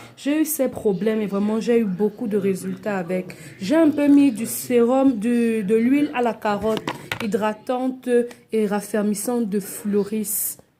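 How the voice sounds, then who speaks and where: Noticeable background noise runs under the voice. The speech moves at a moderate pace with ordinary pitch variation. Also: woman. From Cameroon. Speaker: cosmetics seller. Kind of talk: product tutorial. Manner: animated.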